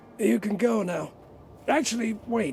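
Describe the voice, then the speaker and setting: A put-on character voice, raspy and fairly high in pitch, delivered at a moderate pace. Clear background noise runs under it. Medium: video game. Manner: matter-of-fact, wry.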